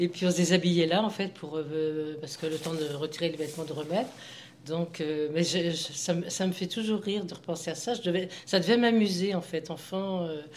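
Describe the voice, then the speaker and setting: Against noticeable background noise, a woman with a fairly low pitch speaks at a moderate pace with fairly even intonation. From Anjou, western France. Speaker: grandmother sharing memories. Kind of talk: casual group conversation.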